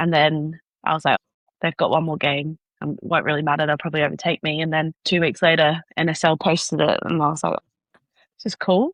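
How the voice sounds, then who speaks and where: Her voice is very deep and low for a woman, with monotone, flat intonation. She speaks at a fairly quick pace. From Australia, Sydney. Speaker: professional netball player. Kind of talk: podcast interview. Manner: casual, filler-heavy.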